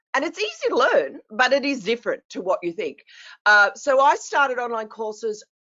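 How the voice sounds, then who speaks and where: With an Australian accent, a woman talks at a moderate pace. Her high pitch moves in very wide swings. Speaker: business coach. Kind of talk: casual chat.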